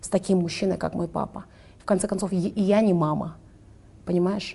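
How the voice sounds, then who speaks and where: Her medium-pitched voice has a dark, mellow tone and is somewhat breathy, moving at a fairly quick pace. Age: 20s. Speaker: influencer and entrepreneur. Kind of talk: interview conversation.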